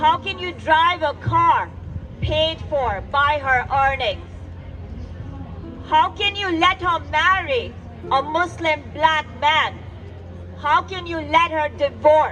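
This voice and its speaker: Music plays in the background. The speech is very slow, with long, frequent pauses. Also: woman. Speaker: poet. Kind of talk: spoken word poetry performance. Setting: live event.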